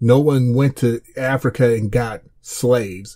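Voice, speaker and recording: In a very clean recording with a silent background, a man speaks at a very slow pace with a medium pitch. His voice is somewhat breathy with a dark, mellow tone and fairly even intonation. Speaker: podcast host. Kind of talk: unscripted rant. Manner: halting, repeated words.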